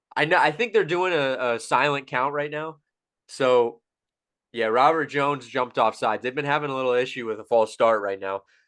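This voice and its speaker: Against a quiet background, a man with a medium pitch and ordinary pitch variation talks at a fairly quick pace. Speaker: comedy podcast co-host. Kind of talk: live game commentary; casual chat.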